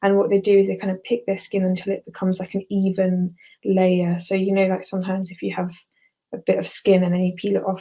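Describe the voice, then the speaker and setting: A woman's somewhat breathy, dark, mellow voice at a medium pitch, monotone and flat, at a fairly quick pace. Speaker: psychiatry exam revision tutor. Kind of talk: online lecture. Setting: live video webinar. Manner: fast.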